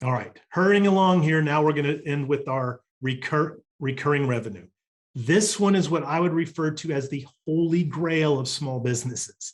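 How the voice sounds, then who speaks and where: Somewhat breathy, a man speaks with fairly high pitch and ordinary pitch variation. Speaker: business coach. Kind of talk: recorded workshop presentation. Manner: fast.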